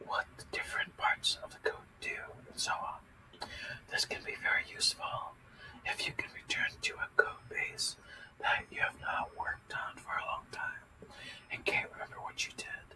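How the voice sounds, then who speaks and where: Moderate-paced whispering over noticeable background noise. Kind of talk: ASMR coding tutorial, reading documentation aloud. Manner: soft-spoken, whispering.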